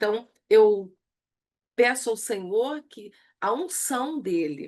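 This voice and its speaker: Very slowly, a woman speaks at a fairly high pitch that swings very widely. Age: 60s. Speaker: church women's leadership teacher. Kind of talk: online lecture.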